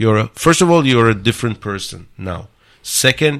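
A man speaks at a medium pitch with an Israeli accent. The recording is very clean, with a silent background. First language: Hebrew. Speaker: startup accelerator builder and mentor. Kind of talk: interview. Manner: halting, many fillers.

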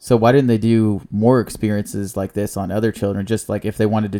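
This man talks at a very fast pace. His voice has a dark, mellow tone. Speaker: podcast host. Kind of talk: casual movie review chat. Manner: animated, joking.

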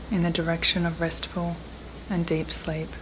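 A woman speaks in a soothing, calm tone at a fairly low pitch. Noticeable background noise runs underneath. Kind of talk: guided meditation. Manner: slow, soothing, calm and gentle; soft-spoken with long pauses.

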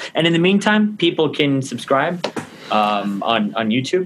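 Very widely swinging in pitch, the man's voice holds a medium tempo against clear background noise. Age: young. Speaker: podcast host. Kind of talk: casual chat. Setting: video call.

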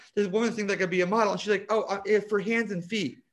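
A man talks at a very fast pace. He speaks with a New Jersey accent. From US Northeast, South Jersey. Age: 40s. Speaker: cosmetic chemist and author. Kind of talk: interview.

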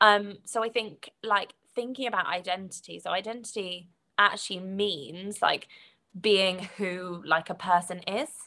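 A woman with a British accent, medium pitch, ordinary pitch variation, a bright, sharp tone and a fairly slow pace. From Britain. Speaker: podcast guest. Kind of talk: casual chat.

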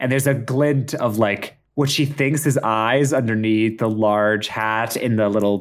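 The pitch moves with ordinary variation. It is an unforced reading voice.

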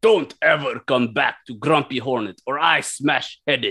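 Putting on a gruff character voice at a medium pitch, a man speaks at a moderate pace. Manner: threatening, gruff.

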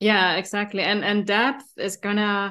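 A woman with a German accent, medium in pitch, against a quiet background. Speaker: podcast co-host and business partner. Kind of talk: casual collaborative podcast chat.

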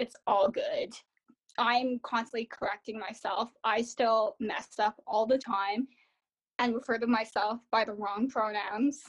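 A woman with a Canadian accent speaks in an ordinary speaking voice at a fairly slow pace, with a dry, close sound with no echo. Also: fairly high pitch for a woman. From Ottawa, Canada. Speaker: student, adoptee. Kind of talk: interview. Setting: remote call.

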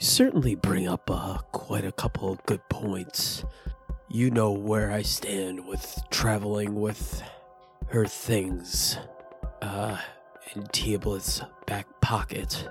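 Speaking at a very slow pace, a man uses a put-on character voice at a fairly low pitch while clear music plays in the background. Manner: measured, formal.

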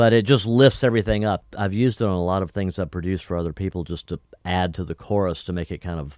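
A man speaks very fast with an American accent, his voice very deep and low. The recording is very clean, with a silent background. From North Carolina. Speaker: musician and record producer. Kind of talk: interview storytelling.

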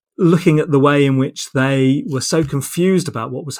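Speaking at a fairly quick pace with a southern English accent, a man uses a fairly high pitch on a very clean recording with a silent background. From southern England (Portsmouth). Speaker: sport sociology professor, former footballer. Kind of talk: interview conversation. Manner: halting, many repetitions.

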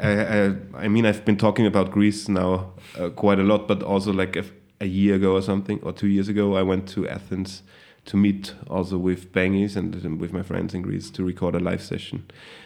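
With a German accent, a man talks at a fairly quick pace in a fairly low, monotone voice with flat intonation. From Austria, Salzburg region. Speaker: hip hop musician. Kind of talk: casual interview.

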